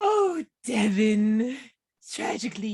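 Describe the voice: In a put-on character voice, a female-sounding speaker talks at a fairly high pitch.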